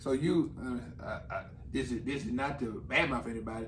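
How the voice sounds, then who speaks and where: Audible room echo surrounds a man of medium pitch speaking at a moderate pace with ordinary pitch variation. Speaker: comedian. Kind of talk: casual chat.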